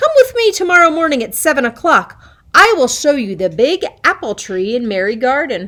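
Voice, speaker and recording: A put-on character voice from a woman, high-pitched with very wide pitch swings, at a moderate pace. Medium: read story. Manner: roaring, scheming.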